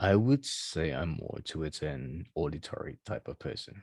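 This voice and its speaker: The man's voice is very deep and low, with vocal fry. His intonation is lively. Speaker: coaching client. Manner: slow talker.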